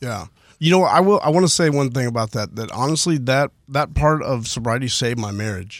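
A man with an unremarkable speaking voice talks fairly quickly at a medium pitch, with lively intonation. The recording is very clean, with a silent background. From Houston, Texas (Spring area). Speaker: recovering addict sharing story. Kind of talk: testimony. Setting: studio.

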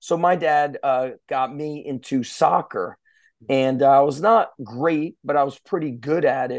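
A man with an ordinary speaking voice talks at a fairly slow pace and a fairly high pitch, with ordinary pitch variation. The background is quiet. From US Northeast, Central New Jersey. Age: 40s. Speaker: strength coach. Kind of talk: casual interview chat. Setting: podcast recording.

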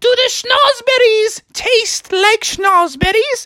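A put-on character voice, female-sounding, extremely high in pitch and very slow in pace. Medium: read story. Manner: haughty, then delighted.

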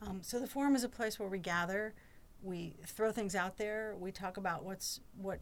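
A woman's unremarkable speaking voice, medium in pitch, with ordinary pitch variation and a moderate pace. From North Carolina, Chapel Hill. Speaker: employee forum chair. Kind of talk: podcast interview.

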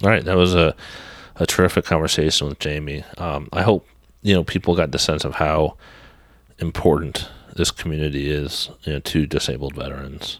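This man's very deep, low voice carries vocal fry, moving at a fairly quick pace with fairly even intonation. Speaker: podcast host. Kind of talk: interview.

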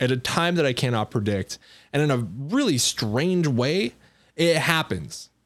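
A man with a normal speaking voice, fairly high in pitch, lively in intonation and moderate in pace. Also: very clean recording, silent background. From Colorado. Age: 20s. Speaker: entrepreneur. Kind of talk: casual chat.

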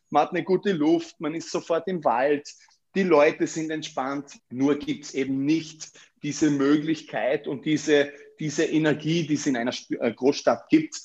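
A man with a fairly high pitch talks fairly slowly, his intonation fairly even. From Austria, Vorarlberg. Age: 30s. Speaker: real estate agent. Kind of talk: interview. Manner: hesitant, many fillers and repetitions.

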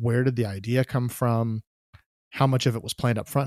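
The sound is dry and close with no echo as a man speaks at a medium pitch and a moderate pace. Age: 40s. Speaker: photography podcast host. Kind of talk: casual interview. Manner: halting, many fillers.

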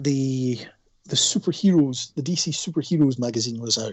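This speaker talks at a moderate pace with ordinary pitch variation. The voice comes with a Scottish accent. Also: man. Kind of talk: casual chat.

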